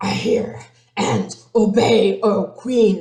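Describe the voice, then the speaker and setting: A raspy, growling put-on character voice with a slight echo. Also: female-sounding voice, medium pitch for a woman. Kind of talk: obedient, formal.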